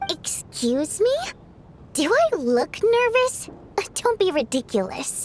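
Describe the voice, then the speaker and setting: A woman's put-on character voice, extremely high with very wide pitch swings, fairly slow with long, frequent pauses, amid clear background noise. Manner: defensive, haughty, denying nervousness.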